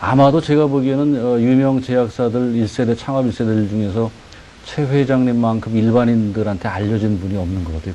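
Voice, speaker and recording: With noticeable background noise behind him, a man speaks at a fairly quick pace and medium pitch, with ordinary pitch variation. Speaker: TV interview host. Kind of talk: interview.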